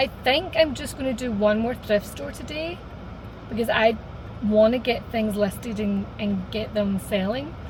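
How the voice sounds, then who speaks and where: Speaking in a Scottish accent, a woman talks at a moderate pace with a fairly high pitch and ordinary variation. Room echo is audible, and background noise is noticeable. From Scotland. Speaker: vlogger. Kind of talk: casual vlog monologue. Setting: in a car.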